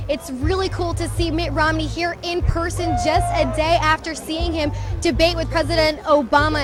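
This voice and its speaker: A woman with an American accent speaks in a high voice at a moderate pace. Music plays in the background. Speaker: TV news reporter. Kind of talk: TV news reporting, live stand-ups and packages.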